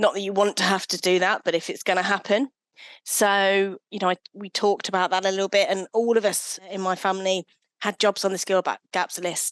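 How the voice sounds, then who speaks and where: A woman with an English accent speaks at a fairly quick pace in a medium pitch, her intonation monotone and flat. The sound is dry and close with no echo, against a quiet background. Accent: English accent noticeable. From English Midlands, Leicestershire (Hinckley). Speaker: sustainable procurement professional. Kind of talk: podcast interview.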